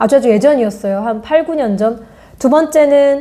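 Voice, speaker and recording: Here a woman speaks with a high pitch. She keeps a moderate pace. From Korea, Goyang. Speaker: art educator and YouTuber. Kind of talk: casual vlog talk about art books.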